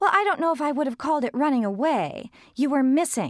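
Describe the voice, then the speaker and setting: A woman's squeaky, high put-on character voice, very fast and lively in intonation, at very even loudness on a very clean recording with a silent background. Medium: read story. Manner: evasive, prim.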